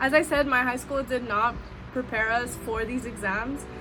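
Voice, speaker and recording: Music plays in the background and the room echo is audible as someone with an American accent talks at a fairly quick pace with fairly even intonation. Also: woman. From US West Coast, Southeast Los Angeles. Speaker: student vlogger. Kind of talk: casual vlog talk to camera.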